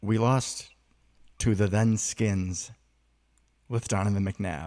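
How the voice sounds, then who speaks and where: A man's fairly low, dark and mellow voice at a very slow pace, with fairly even intonation, in a very clean recording with a silent background. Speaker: sports podcast co-host. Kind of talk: casual chat.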